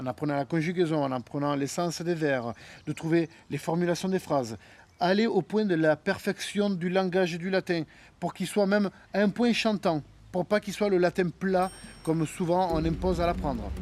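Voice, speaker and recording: A man speaks at a moderate pace in a high pitch with ordinary pitch variation. The sound is dry and close with no echo, on a very clean recording with a silent background. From Sicily. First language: Italian (Sicilian) (speaking French). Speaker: historical reenactor. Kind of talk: documentary interview. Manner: hesitant, many fillers.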